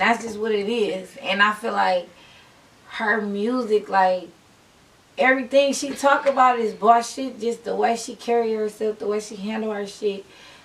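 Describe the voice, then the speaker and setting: A woman with a fairly high pitch talks at a moderate pace, her intonation fairly even but her loudness swinging widely, over noticeable background noise. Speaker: rapper. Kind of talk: casual interview chat.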